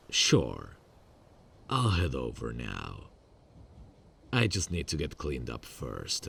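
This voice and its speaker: A man's put-on character voice, very deep and low in pitch, with very wide pitch swings and long, frequent pauses. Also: fairly slow pace. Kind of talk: ASMR roleplay. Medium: solo performance. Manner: calm, controlled, quietly menacing.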